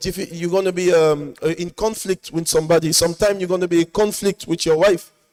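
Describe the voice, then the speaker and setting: The recording has a dry, close sound with no echo. A man speaks in a high pitch with fairly even intonation. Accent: French. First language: French. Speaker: mosque speaker. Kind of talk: sermon summary. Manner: halting.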